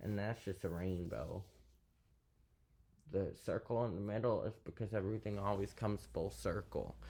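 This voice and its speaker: This man talks at a moderate pace with a fairly low pitch, vocal fry, a dark, mellow tone, ordinary pitch variation and very even loudness, leaving long, frequent pauses on a very clean recording with a silent background. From US South. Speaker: YouTuber reading poetry. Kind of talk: casual monologue.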